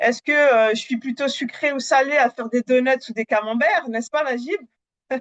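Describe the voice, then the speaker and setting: Over music in the background, a woman talks at a moderate pace in a high pitch with ordinary pitch variation. The sound is dry and close, with no echo. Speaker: Power BI trainer. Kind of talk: live webinar demo. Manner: hesitant, many fillers.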